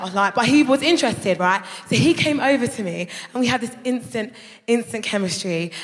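A woman with a London accent, fairly high in pitch, quick-paced and lively in intonation, over noticeable background noise. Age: 30s. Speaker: comedian. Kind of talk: stand-up. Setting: stage with audience. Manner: animated.

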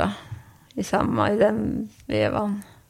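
A woman speaks very slowly, with noticeable background noise in the recording. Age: 50s. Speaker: patient with Parkinson's, office worker. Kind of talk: interview. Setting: at home, in kitchen.

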